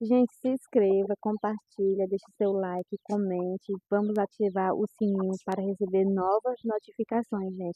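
A woman with a Ceará accent, monotone and flat, fairly slow with hardly any pauses, in a dry sound with no echo against a quiet background. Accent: Northeastern Brazilian (Cearense) Portuguese. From Brazil, Ceará interior (Limoeiro do Norte). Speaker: rural farmer vlogger. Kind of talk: casual vlog walkthrough. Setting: outdoors on a farm. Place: farm machine. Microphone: phone near.

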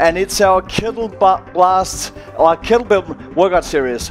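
Faint music plays in the background while a man speaks fairly slowly. His pitch varies in an ordinary way. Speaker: personal trainer. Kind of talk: workout class instruction. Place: gym. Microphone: headset.

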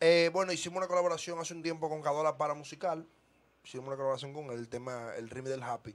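Talking at a very fast pace, a man uses a fairly high voice with ordinary pitch variation. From Dominican Republic, Villa Duarte (Santo Domingo Este). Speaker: urban music artist. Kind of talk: casual interview. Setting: studio. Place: studio. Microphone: studio mic.

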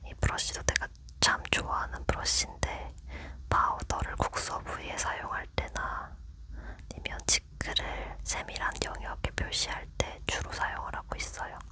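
Someone whispers in a gentle tone at a fairly slow pace. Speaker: ASMR creator. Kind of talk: ASMR soft talking. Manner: soft-spoken, gentle. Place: home room. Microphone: studio mic.

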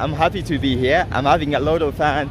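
A man talks at a moderate pace with music in the background. The sound is dry, with no echo. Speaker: city walk vlogger. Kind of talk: casual vlog chat. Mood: enthusiastic, proud. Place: street. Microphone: phone near.

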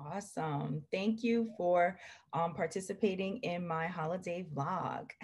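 A woman talks at a fairly slow pace in a fairly low voice. It is somewhat breathy, with ordinary pitch variation. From Jamaica. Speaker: podcast host, gift guide vlogger. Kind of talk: casual product showcase vlog. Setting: video call. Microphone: webcam.

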